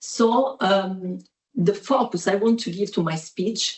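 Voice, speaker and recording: In an Italian accent, a woman speaks at medium pitch, somewhat breathy, with ordinary pitch variation. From Italy. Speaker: professor. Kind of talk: academic presentation. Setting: video call.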